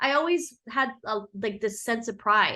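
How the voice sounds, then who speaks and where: A woman with an American accent and a bright, sharp tone, against a quiet background. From San Diego, US. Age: 40s. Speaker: businesswoman. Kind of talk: casual chat.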